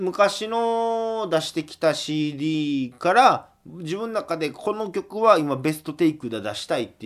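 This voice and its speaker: Everything is very clean here, with a silent background. The man goes at a very slow pace. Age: 20s. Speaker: folk singer-songwriter hosting a radio show. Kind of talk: solo radio talk.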